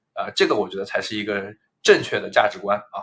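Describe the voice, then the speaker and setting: A man talking at a fairly quick pace. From Jiangsu, Nanjing; schooled in US. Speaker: entrepreneur, podcast co-host. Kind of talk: casual chat.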